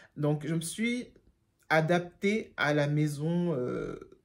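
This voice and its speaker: A woman is speaking. She has a German accent. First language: German (speaking French). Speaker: YouTuber, job seeker. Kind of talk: storytime vlog. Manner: casual, many hesitations.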